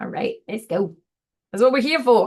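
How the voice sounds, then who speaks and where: A woman with vocal fry and a warm tone talks at a fairly quick pace. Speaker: tarot reader. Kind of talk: tarot reading to camera. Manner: casual, warm.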